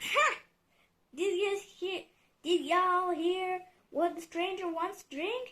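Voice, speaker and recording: Doing a put-on character voice, a woman bellows loud and squeaky at an extremely high pitch, speaking at a fairly slow pace with long, frequent pauses. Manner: loud, bellowing, mocking.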